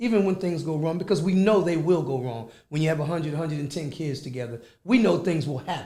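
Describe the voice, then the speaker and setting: This man talks at a very fast pace with hardly any pauses, his fairly high pitch carrying lively intonation. The room echo is audible, and background noise is noticeable. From Philadelphia, Pennsylvania. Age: 60s. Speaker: youth club executive director. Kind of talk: radio interview.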